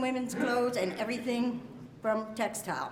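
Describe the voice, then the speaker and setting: A woman with a high-pitched voice and an American accent, noticeable background noise and audible room echo. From Pennsylvania, Allentown. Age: 60s. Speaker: retired garment worker. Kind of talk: testimony.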